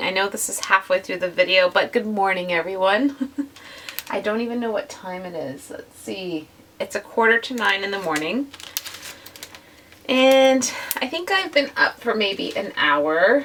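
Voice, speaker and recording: A woman's raspy put-on character voice at medium pitch, with a moderate pace, long, frequent pauses and big swings in loudness. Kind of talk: casual, vlogger.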